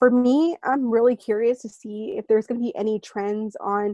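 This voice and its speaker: The speaker, in a Californian accent, talks at a fairly quick pace with fairly even intonation and a dark, mellow tone, in a dry, close sound with no echo. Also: woman. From San Francisco Bay Area (East Bay). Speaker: education program worker. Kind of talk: interview. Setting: remote call.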